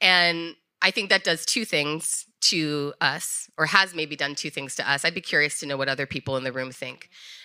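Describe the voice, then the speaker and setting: A woman speaks fairly quickly with a slight Minnesota accent and ordinary pitch variation. Her bright, sharp tone comes through a very clean recording with a silent background. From US military family, moved around. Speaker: podcast co-host. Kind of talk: live podcast conversation. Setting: stage with live audience.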